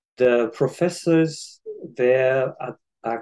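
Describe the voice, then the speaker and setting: A man with a Japanese accent speaks at a medium pitch with ordinary pitch variation. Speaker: psychology professor. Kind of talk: interview.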